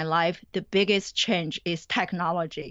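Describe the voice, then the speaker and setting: Speaking with a Chinese accent, a woman keeps a moderate pace. Her pitch varies in an ordinary way. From China. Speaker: college professor. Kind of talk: interview.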